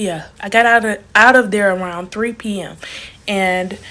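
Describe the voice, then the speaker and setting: In a Southern US accent, the speaker talks at a fairly slow pace with an animated tone and ordinary pitch variation, on a very clean recording with a silent background. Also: woman. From Alabama, US South. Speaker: travel vlogger. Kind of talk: casual storytime vlog. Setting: hotel room. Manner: animated, chatty.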